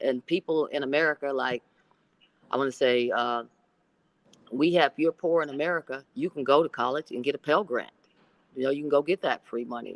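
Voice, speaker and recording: A woman with an Oklahoma accent speaks fairly quickly at a very deep, low pitch with ordinary pitch variation, the sound dry and close with no echo. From Oklahoma, US. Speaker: basketball coach, former pro player. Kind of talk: podcast interview.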